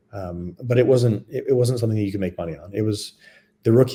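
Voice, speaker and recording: A man with a Canadian accent and a dark, mellow, somewhat breathy tone, ordinary pitch variation, on a very clean recording with a silent background. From Canada. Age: 40s. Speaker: former lacrosse player. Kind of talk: interview. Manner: casual, with many fillers.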